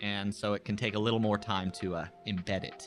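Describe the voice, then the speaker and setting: With music in the background, a man talks in a mid-range pitch. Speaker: fitness streamer. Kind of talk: live stream chat.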